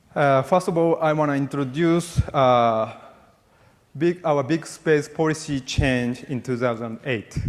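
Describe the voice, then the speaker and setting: Using a fairly high pitch and ordinary pitch variation, a man speaks at a fairly slow pace. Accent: Japanese. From Japan. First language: Japanese. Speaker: military officer and space policy official. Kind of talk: keynote speech. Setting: conference stage with audience. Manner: halting.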